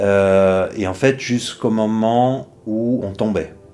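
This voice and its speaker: His dark, mellow tone shows ordinary pitch variation as the man speaks. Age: 60s. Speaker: retiree who practises trance and accompanies people. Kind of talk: interview testimony. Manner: hesitant, many fillers.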